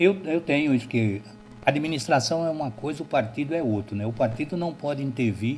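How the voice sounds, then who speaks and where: This man has a normal speaking voice with ordinary pitch variation. He talks at a fairly quick pace. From Alagoas, Brazilian Northeast. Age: 60s. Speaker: local party chairman. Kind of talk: interview.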